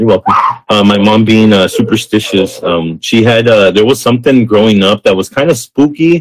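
A man's normal speaking voice with an American accent, fairly low in pitch, with ordinary pitch variation, a moderate pace and a dry, close sound with no echo. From US-Mexico border area. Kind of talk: casual chat.

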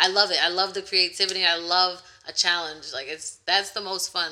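Her voice carries an American accent. The woman's pitch is medium. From Connecticut. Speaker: DIY home renovator. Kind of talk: interview.

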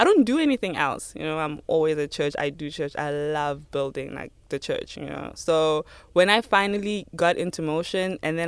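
With a South African accent, a woman talks at a fairly quick pace in a very deep, low pitch with ordinary pitch variation, in a very clean recording with a silent background. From South Africa, Limpopo. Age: 20s. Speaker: church volunteer. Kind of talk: testimony.

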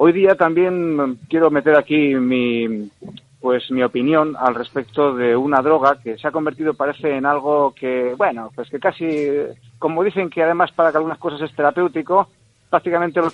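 This man has a normal speaking voice at a fairly high pitch. He moves at a moderate pace with ordinary pitch variation. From Spain, Burgos (Valle de Mena). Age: 50s. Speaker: radio presenter and journalist. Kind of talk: radio interview.

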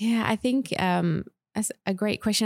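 A woman's medium-pitched voice in an Australian accent, fairly quick and with lively intonation, on a very clean recording with a silent background and a dry, close sound with no echo. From Western Australia, Perth. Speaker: school chaplain. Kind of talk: interview.

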